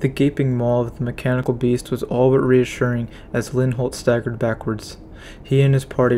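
Reading in an unforced voice

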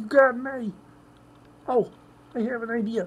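In a put-on character voice, a female-sounding speaker talks at a moderate pace with a fairly high pitch. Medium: role play. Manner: nasal, comic.

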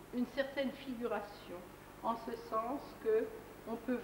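A woman speaks at a very slow pace. Noticeable background noise runs behind her. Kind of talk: gallery commentary. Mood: calm, reflective. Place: hall. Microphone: old recording.

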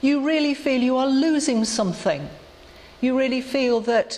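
Moderate pacing from a woman. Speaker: clergy lecturer. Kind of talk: lecture. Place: church.

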